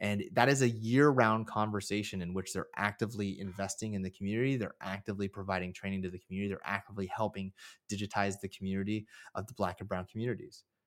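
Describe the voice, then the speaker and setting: A man with a Californian accent, fairly low pitch and fairly even intonation, at a very fast pace on a very clean recording with a silent background. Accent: General American (Californian). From US West Coast (San Francisco Bay Area, East Bay). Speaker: marketing executive. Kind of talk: interview. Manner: casual, conversational.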